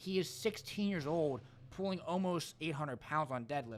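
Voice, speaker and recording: Loud and animated, a man with a high voice speaks at a moderate pace with lively intonation on a very clean recording with a silent background. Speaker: powerlifter and social media personality. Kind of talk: casual podcast chat.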